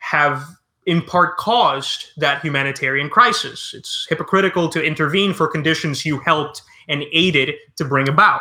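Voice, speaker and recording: Here a man talks at a moderate pace in a fairly high pitch. The tone is bright and sharp, with ordinary pitch variation. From Cuba. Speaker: history podcast host. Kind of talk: casual interview. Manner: halting, many fillers.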